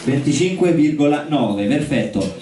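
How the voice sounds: A man talks at a moderate pace with a slightly mellow tone, and strong room echo surrounds his voice.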